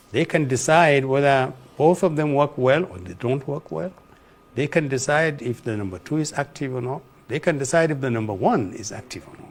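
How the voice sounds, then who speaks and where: Speaking at a fairly quick pace with ordinary pitch variation, this voice shows big swings in loudness. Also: man, fairly high pitch for a man. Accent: northern Nigerian. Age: 70s. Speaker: former political adviser. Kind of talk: interview. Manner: halting.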